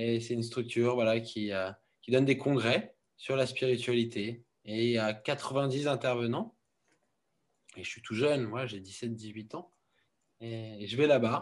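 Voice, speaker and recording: This man speaks at a fairly slow pace with a medium pitch and fairly even intonation. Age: 30s. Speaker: founder of a wellness centre. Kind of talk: testimony. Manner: halting.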